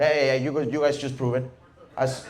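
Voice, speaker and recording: A man speaks with a Venezuelan accent. Noticeable background noise runs under his voice. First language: Spanish. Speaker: stand-up comedian. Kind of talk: stand-up comedy set.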